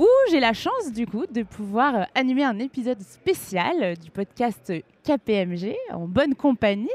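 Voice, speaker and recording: At a moderate pace, a woman with a fairly high pitch and very wide pitch swings speaks in a dry, close sound with no echo. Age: 20s. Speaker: podcast host, content creator. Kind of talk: scripted intro; live podcast interview. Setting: live event with audience.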